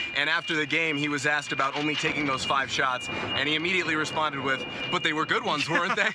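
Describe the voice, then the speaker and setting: A man speaks at a very fast pace with a fairly high pitch. Noticeable background noise runs behind him. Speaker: sports broadcaster. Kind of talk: sports broadcast, stand-up and studio commentary.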